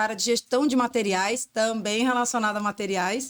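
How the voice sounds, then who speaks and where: A woman's fairly even intonation at a moderate speed. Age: 40s. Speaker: entrepreneur, former industrial logistics professional. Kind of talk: interview conversation. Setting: podcast studio.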